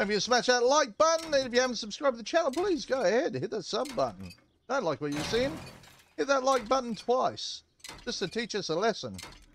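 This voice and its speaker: In an Australian accent, a man speaks at a fairly quick pace. His pitch is extremely high and makes very wide swings. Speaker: gaming streamer. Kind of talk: live gameplay commentary. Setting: live stream. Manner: casual, rambling with fillers.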